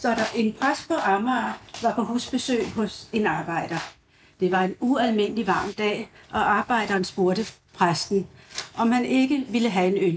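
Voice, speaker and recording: Loudness stays very even as a woman speaks at a fairly slow pace with ordinary pitch variation. Light background noise is present. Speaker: guest. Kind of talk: reading aloud anecdotes. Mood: amused, light. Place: cafe.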